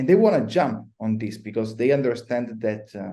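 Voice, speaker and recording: With an Italian accent, a man talks at a fairly quick pace, his medium-pitched voice carrying a dark, mellow tone. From Italy. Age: 30s. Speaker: blockchain consultant. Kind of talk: podcast interview.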